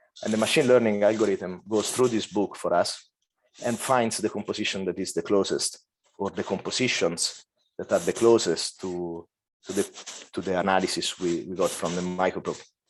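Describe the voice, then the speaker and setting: Fairly low in pitch, a man speaks with ordinary pitch variation. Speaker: volcanology professor. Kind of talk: scientific lecture. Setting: conference talk. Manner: fast.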